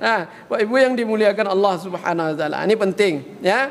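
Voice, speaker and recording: A man talks very fast in an animated tone, his pitch swinging very widely. Noticeable background noise sits behind him. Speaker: Islamic preacher. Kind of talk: sermon. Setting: mosque.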